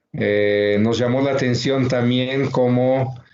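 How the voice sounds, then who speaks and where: A man speaks at a medium pitch and a very slow pace, his intonation fairly even. Audible room echo surrounds his voice. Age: 60s. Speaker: researcher and book author. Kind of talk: book presentation talk. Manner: halting, many fillers.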